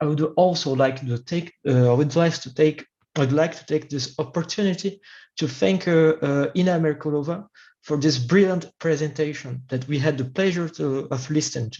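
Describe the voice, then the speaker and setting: A man with a non-native accent speaks at a moderate pace in a fairly high, somewhat breathy voice. His tone is dark and mellow, with ordinary pitch variation. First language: not English. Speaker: academic discussant. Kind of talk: formal academic commentary. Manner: halting.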